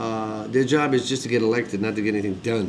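The speech moves at a very fast pace with fairly even intonation. Noticeable background noise sits behind it. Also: man. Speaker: industry executive and video blogger. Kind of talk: ranting video blog monologue, grumbling and wisecracking. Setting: self-recorded video to camera. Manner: rambling, gruff and self-mocking, bitter about getting old; fast, talkative, with blunt sarcastic complaints. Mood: wry, joking, animated. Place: home room. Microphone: webcam.

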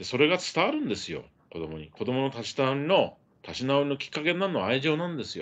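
A man talks at a very fast pace with lively intonation. His loudness swings widely. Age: old. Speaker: journalist and political commentator; journalist commentator. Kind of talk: live stream commentary monologue; live stream news commentary. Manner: conversational with many fillers. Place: home room. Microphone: phone near.

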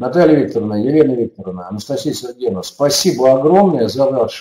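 Using a plain, everyday voice, a man speaks at a medium pitch with lively intonation. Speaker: webinar host, education expert. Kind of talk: webinar presentation and moderation. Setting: online webinar. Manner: formal.

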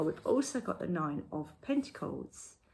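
At a fairly slow pace, a woman speaks in a somewhat breathy voice with very wide pitch swings. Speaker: tarot reader. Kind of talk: tarot reading to camera. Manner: conversational.

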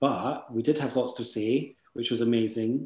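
In a Scottish accent, the speaker has a dark, mellow tone and monotone, flat intonation, with audible room echo. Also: man. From Scotland. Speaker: event organizer. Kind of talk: event hosting. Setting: video call. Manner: warm. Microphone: video call.

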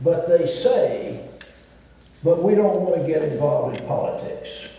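Someone with a Southern US accent speaks at a moderate pace amid strong room echo and light background noise. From US South. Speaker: former state governor. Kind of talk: panel discussion. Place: stage.

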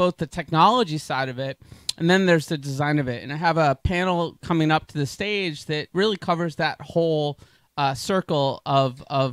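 A man talks at a moderate pace with ordinary pitch variation, the sound dry with no echo and the background quiet. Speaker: panel moderator. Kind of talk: event host introduction. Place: stage. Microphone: handheld.

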